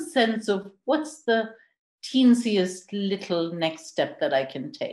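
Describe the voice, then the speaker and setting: A woman's somewhat breathy voice. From India. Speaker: intercultural and leadership coach. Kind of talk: podcast interview. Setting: podcast recording.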